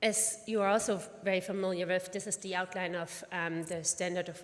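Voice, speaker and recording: This woman talks at a moderate pace and a medium pitch. She has a slight German accent and fairly even intonation. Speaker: pediatric oncologist and physician scientist. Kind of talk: conference presentation. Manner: halting with many fillers.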